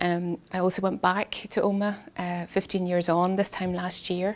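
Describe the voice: A woman speaks with a fairly low pitch. Her pitch moves very little. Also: moderate pace.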